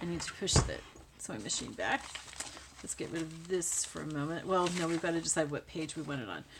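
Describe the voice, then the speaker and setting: Woman mumbling over noticeable background noise. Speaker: crafting YouTuber. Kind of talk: tutorial. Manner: soft-spoken.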